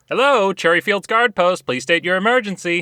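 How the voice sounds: A man does a cartoonish character voice with a high pitch at a fairly quick pace. The sound is dry and close with no echo, over a quiet background. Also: ordinary pitch variation.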